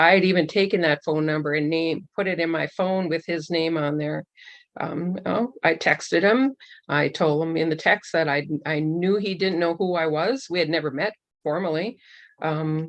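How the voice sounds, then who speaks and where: A woman with an unremarkable speaking voice talks at a moderate pace, her pitch fairly low and its variation ordinary, against a quiet background. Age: 60s. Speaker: church member giving testimony. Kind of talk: testimony.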